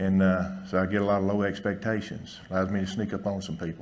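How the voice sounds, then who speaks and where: Amid audible room echo, a man with a fairly low pitch and a Southern US accent talks at a fairly quick pace. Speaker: veterinarian. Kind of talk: conference talk.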